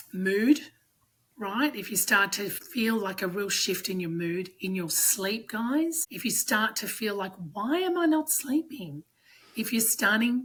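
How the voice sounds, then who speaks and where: Speaking with an Australian accent, a woman uses a fairly high pitch, lively intonation and a fairly slow pace. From Australia, Sydney. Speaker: strength coach. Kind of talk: podcast interview.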